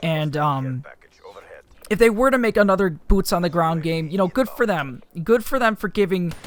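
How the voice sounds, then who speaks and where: Here a man speaks with a high pitch. His pace is moderate, with ordinary pitch variation. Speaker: gaming youtuber. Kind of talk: gameplay commentary. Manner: halting, many fillers; casual.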